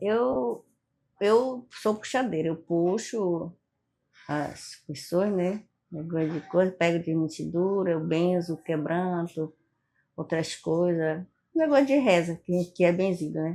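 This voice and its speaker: At a very slow pace, a woman speaks with a fairly low pitch and a dark, mellow tone. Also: ordinary pitch variation. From Amazonas interior, Brazil. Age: 70s. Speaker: folk healer and former midwife. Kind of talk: interview testimony.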